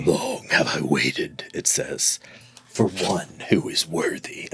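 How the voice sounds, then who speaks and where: A man puts on a raspy character voice. He delivers it at a fairly slow pace. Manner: whispering.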